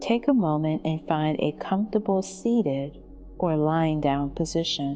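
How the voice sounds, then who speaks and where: A woman's very deep, low pitch with very wide pitch swings, very even loudness and a fairly slow pace, with music in the background. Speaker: meditation guide. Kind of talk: guided meditation. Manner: slow, soft-spoken.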